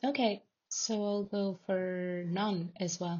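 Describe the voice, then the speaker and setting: Speaking very slowly in a Spanish accent, a woman keeps her medium-pitched voice fairly even in intonation. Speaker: tech company team member. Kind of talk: screen-recorded tutorial. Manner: casual, with many filler words.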